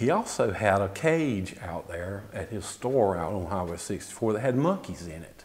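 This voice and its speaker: A man with an American accent speaks at a moderate pace, his fairly low voice carrying lively intonation. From Apex, North Carolina (US South). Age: 60s. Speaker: local resident sharing memories. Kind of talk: oral history interview. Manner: conversational, with hesitations.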